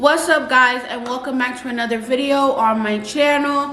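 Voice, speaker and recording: A woman with a high pitch speaks in an American accent, with noticeable background noise behind her. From New York, US. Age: young. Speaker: YouTuber. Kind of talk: casual commentary to camera. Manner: chatty.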